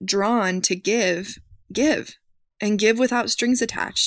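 Against a quiet background, a woman with an ordinary speaking voice talks at a fairly slow pace with ordinary pitch variation. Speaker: social worker. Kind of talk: interview.

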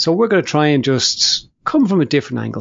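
A man's plain, everyday voice, fairly high in pitch, with lively intonation. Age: 50s. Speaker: podcast host. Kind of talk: casual chat.

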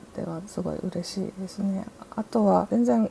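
Someone female speaks at a moderate pace. Noticeable background noise runs underneath. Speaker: artist and writer. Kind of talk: interview.

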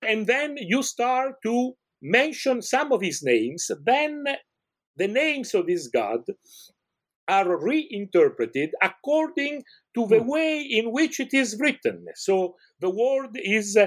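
A man talks at a very slow pace with an Italian accent. His pitch is extremely high. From Italy. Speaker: professor of ancient Iranian studies. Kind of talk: interview, scholarly explanation. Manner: halting, many fillers.

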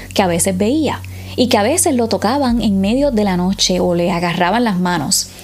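Music behind a woman's voice, its pitch moving in an ordinary way. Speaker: podcast host telling mystery stories. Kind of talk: ghost story telling, spooky first-person tale read aloud. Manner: hushed, suspenseful, halting with hesitations and pauses; intimate, dramatic, building dread.

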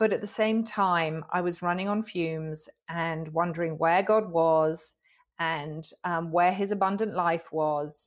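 A woman with an English accent speaks at a fairly slow pace with fairly low pitch and fairly even intonation. The recording is very clean, with a silent background. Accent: English, noticeable as soon as she speaks. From England. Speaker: author and inspirational speaker. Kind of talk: interview.

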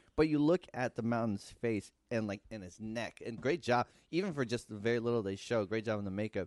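An ordinary speaking voice with an American accent moves at a fairly quick pace with ordinary pitch variation. The sound is dry and close with no echo against a quiet background. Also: man. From United States, Mexican American. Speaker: podcast co-host. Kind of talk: casual chat.

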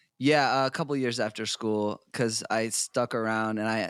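A man with a normal speaking voice, a fairly low pitch and an American accent talks at a moderate pace. The sound is dry and close with no echo, on a very clean recording with a silent background. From US New England (South Portland, Maine). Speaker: musician. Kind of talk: casual chat.

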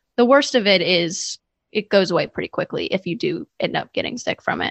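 In a normal speaking voice, the speaker keeps a moderate pace with lively intonation. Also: woman. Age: 20s. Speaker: podcaster and preschool teacher. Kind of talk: casual chat.

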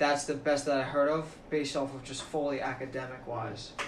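Noticeable background noise and audible room echo surround a man speaking at a fairly quick pace. His voice is fairly high, with monotone, flat intonation. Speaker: college student. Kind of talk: casual chat.

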